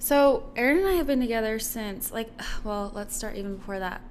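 Audible room echo surrounds a woman speaking at a moderate pace, her fairly high pitch showing ordinary pitch variation. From Guam. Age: 20s. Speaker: business owner and model. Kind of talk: casual interview chat.

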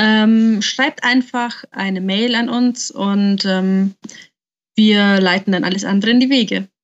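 A woman's fairly high pitch at a very slow pace, with fairly even intonation. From Nuremberg, Germany. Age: 20s. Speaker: podcast co-host, designer. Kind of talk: casual podcast chat.

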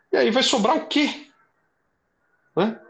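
A man's bright, sharp voice at a fairly slow pace against a quiet background. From São Paulo ABC region, Brazil. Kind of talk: interview.

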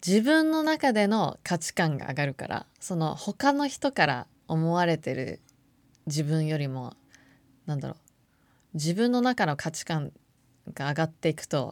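Over a silent background in a very clean recording, a woman with a fairly low pitch speaks fairly slowly, her intonation lively and her speech broken by long, frequent pauses. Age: 30s. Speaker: podcast host. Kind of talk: casual monologue.

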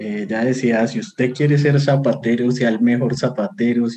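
Here a man speaks in a Bogotá accent. His tone is dark and mellow, his pace moderate. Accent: Bogotá Colombian Spanish. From Colombia, Bogotá. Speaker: biblical scholar and university lecturer. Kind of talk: casual interview chat. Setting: video call.

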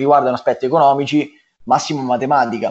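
A man with a fairly high pitch and monotone, flat intonation. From Marche, Italy (small village). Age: 20s. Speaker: pizzeria entrepreneur. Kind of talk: casual interview chat. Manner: halting, many repetitions and fillers.

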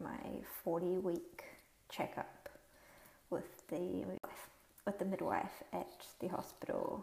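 A woman speaks with a New Zealand accent. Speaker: podcaster sharing birth story. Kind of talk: personal story monologue.

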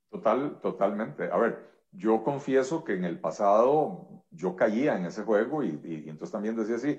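A man's ordinary speaking voice, medium in pitch, with lively intonation at a moderate pace. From Costa Rica. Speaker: economist and politician. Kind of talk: interview.

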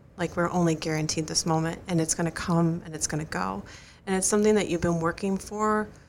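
Soft-spoken woman with a fairly low pitch and ordinary pitch variation. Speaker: guest co-host, runner's wife and crew chief. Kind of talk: casual interview; heartfelt advice. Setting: studio.

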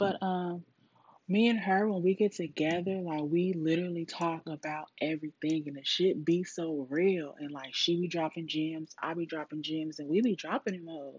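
Fairly even intonation at a moderate pace, with big swings in loudness. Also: woman, fairly low pitch for a woman. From California. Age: 30s. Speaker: podcast host. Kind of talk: casual monologue. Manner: rambling, casual.

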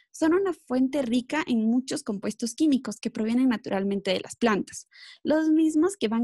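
A woman speaks at a high pitch with a dark, mellow tone and lively intonation. Her pace is fairly slow, and the sound is dry and close with no echo. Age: 30s. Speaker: wellness specialist. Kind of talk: interview. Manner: filler-heavy.

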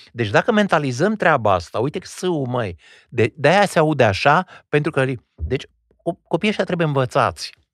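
With vocal fry and very wide pitch swings, a man talks at a fairly quick pace and fairly high pitch, in a dry, close sound with no echo and a quiet background. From Old Kingdom Romania (Regat). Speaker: stage and film actor. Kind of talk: interview conversation. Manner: academic, formal.

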